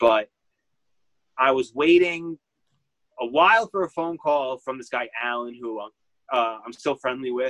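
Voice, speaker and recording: A man talks with big swings in loudness and long, frequent pauses, recorded with a dry, close sound and no echo. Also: medium pitch for a man, ordinary pitch variation, fairly slow pace. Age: 30s. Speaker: small business owner and reality TV participant. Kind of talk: casual chat.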